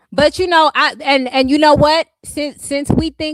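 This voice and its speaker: A woman with a high voice speaks in an animated tone, recorded dry and close with no echo. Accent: American. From California, West Coast US. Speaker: live streamer. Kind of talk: casual livestream chat.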